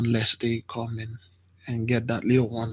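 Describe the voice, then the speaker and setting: This soft-spoken voice is somewhat breathy, with monotone, flat intonation. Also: man. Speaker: spiritual teacher. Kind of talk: religious teaching.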